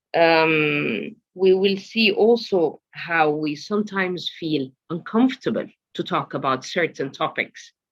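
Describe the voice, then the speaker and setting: A woman with an Arabic accent speaks with hardly any pauses. Her pitch is fairly low. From Egypt, Alexandria. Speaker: museum program producer, workshop speaker. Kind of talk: online workshop presentation. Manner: hesitant, many fillers.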